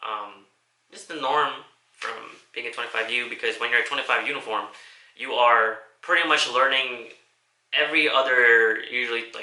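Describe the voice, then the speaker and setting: A man at medium pitch with fairly even intonation, a moderate pace, long and frequent pauses, big swings in loudness, and audible room echo. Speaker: vlogger and army soldier. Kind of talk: casual vlog monologue. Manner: halting, stuttering; casual, profane.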